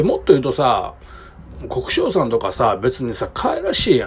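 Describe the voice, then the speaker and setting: Amid noticeable background noise, a man talks at a fairly quick pace in a Kansai accent. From Kobe, Japan. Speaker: podcaster. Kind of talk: casual solo talk. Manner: hesitant, many fillers.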